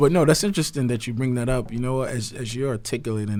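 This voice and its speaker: The speaker's pitch varies in an ordinary way while noticeable background noise runs underneath. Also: man. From US, Nigerian parents, moved from Nigeria at three. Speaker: podcast co-host. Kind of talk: casual chat.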